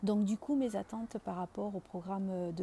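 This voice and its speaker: The voice has a dark, mellow tone, somewhat breathy, with fairly even intonation. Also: woman. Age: 40s. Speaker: engineer and project manager retraining as coach. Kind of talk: client testimonial. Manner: hesitant, many filler words.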